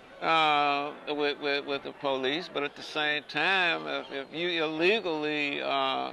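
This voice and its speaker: A man with an American accent, fairly high in pitch, bright and sharp in tone, very slow yet with hardly any pauses, his intonation fairly even. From Chicago. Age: 60s. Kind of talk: oral history interview answer. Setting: outdoors.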